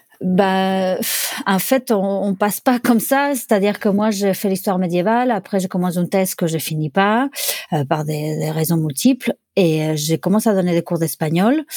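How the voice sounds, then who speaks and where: Recorded dry and close with no echo and a silent background on a very clean track, a woman's dark, mellow tone carries lively intonation. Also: medium pitch for a woman, moderate pace. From Barcelona, Spain (born Buenos Aires). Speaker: sommelier and wine bar owner. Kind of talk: interview. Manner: halting.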